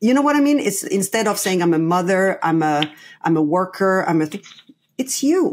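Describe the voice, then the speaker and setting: At a moderate pace, a woman with a French accent speaks at a medium pitch with very wide pitch swings, on a very clean recording with a silent background. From France. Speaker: play coach and consultant. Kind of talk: podcast interview. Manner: halting, many fillers and restarts.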